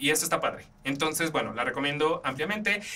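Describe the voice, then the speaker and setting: A man talks with lively intonation in an animated, bright and sharp tone. His voice is raised and projected. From Mexico. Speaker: podcast host. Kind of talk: casual film and theatre reviews. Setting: studio.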